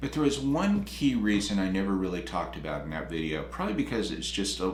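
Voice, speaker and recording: Talking at a very fast pace, a man with a very deep, low voice is heard over noticeable background noise. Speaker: retirement and career coach YouTuber. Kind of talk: casual talk to camera.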